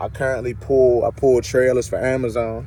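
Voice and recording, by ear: His pitch is medium. This man speaks at a moderate pace.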